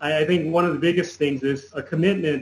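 With a General American accent and an unremarkable speaking voice, a man talks at a fairly quick pace and fairly high pitch with ordinary pitch variation. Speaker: environmental activist and engineer. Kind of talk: interview.

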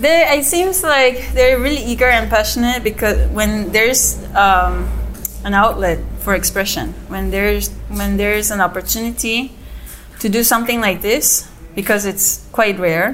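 There is noticeable background noise and audible room echo as a woman talks at a moderate pace. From South Korea. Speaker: artist. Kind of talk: interview. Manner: halting.

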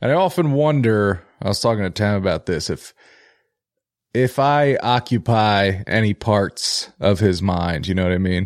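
In a very clean recording with a silent background, a man with an American accent talks at a moderate pace in an unremarkable speaking voice, fairly low in pitch with lively intonation. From Philadelphia, US. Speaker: podcast co-host. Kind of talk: casual chat.

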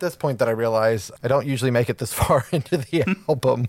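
A man with an ordinary speaking voice and medium pitch talks at a fairly quick pace with ordinary pitch variation. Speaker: podcast co-host. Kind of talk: casual chat.

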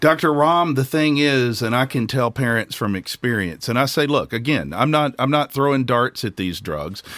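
A man talks at a moderate pace with a medium pitch, lively intonation and hardly any pauses, in a plain, everyday voice. The recording is very clean, with a silent background. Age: 50s. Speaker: podcast host and recovering stimulant addict. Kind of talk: casual interview conversation.

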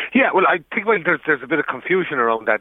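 An Irish accent marks the man's speech. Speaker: journalist. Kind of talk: radio interview.

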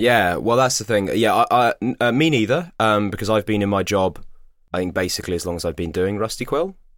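Speaking fairly quickly, a man with a fairly low pitch, an ordinary speaking voice and lively intonation is heard on a very clean recording with a silent background. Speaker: podcast co-host and voice actor. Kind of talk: casual chat.

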